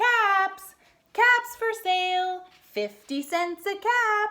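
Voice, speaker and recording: Speaking very slowly in a squeaky put-on character voice, a woman keeps an extremely high pitch with ordinary pitch variation. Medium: read story. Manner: scolding, shaking a finger.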